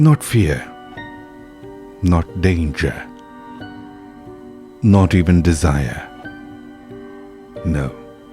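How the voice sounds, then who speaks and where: With music in the background, a man with a very deep, low pitch and ordinary pitch variation speaks at a very slow pace, taking long, frequent pauses. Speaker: horror story narrator. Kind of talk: horror story narration. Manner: direct address to listeners.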